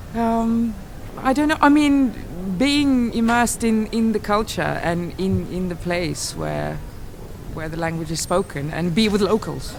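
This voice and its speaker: Against noticeable background noise and audible room echo, a woman with a Lithuanian accent talks at a fairly slow pace and a medium pitch. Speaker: classical singer. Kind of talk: street interview. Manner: halting.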